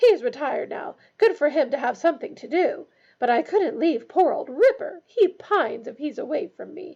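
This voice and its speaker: A woman does a put-on character voice at an extremely high pitch with very wide pitch swings. Her pace is moderate. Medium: read story. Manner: booming, barking, domineering.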